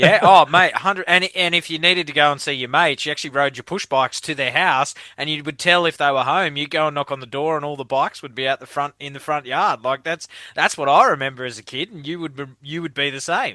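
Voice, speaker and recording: Speaking very fast with hardly any pauses, a man uses a bright, sharp tone at a fairly high pitch with an Australian accent. The sound is dry and close with no echo, over a quiet background. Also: fairly even intonation. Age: 30s. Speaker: podcast host. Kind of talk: casual chat.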